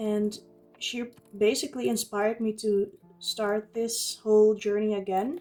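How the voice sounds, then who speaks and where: Fairly slow speech from a woman with a fairly high pitch. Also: ordinary pitch variation. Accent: Dutch. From Netherlands. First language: Dutch. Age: 20s. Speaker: journaling YouTuber. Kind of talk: casual vlog talk while crafting. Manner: occasional hesitations and fillers.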